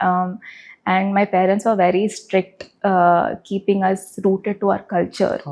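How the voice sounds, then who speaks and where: A soft-spoken woman with an American accent talks at a moderate pace in a medium pitch, her intonation flat and monotone, her loudness very even, and her pauses long and frequent. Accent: American English with Telugu. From United States, Telugu family. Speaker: film producer. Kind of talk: interview.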